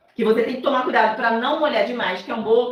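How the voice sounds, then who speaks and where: A woman's fairly high voice, with audible room echo. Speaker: cake decorator and baking teacher. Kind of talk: live tutorial. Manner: soft-spoken; casual, chatty.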